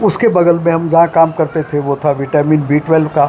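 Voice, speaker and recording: There is noticeable background noise in this clip. A man speaks at a high pitch. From Belgaum, Karnataka-Maharashtra border. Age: 80s+. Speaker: retired scientist and health lecturer. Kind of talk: interview.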